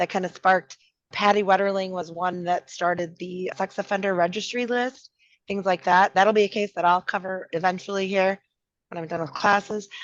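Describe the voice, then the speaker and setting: A woman speaks at a medium pitch with a Minnesotan accent and monotone, flat intonation. The sound is dry and close with no echo, against a quiet background. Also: moderate pace. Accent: Minnesota. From Minnesota, Twin Cities. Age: 50s. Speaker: podcast co-host. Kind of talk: casual chat.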